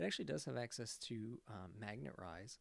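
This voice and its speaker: The man's voice sits at a fairly low pitch with ordinary pitch variation. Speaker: Pokemon YouTuber and draft league organizer. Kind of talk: commentary video on game leaks. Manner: fast.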